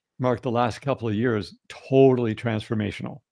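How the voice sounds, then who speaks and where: A man of medium pitch speaks in a plain, everyday voice. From Canada. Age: 60s. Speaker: health and wellness guest. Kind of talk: podcast interview.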